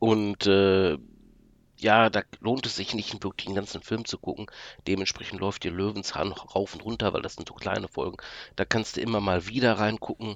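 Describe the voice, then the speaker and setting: A man speaks in an ordinary speaking voice at a moderate pace, with fairly low pitch and fairly even intonation. The background is quiet, and the sound is dry and close with no echo. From Hochsauerlandkreis, western Germany. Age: 40s. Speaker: podcast listener guest, vocational trainer. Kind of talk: casual chat. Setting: remote call from home office.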